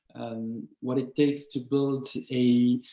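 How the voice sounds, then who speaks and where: With a French accent, a man speaks in a dark, mellow tone with fairly even intonation. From France. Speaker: start-up founder. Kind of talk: webinar talk. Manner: hesitant, many fillers.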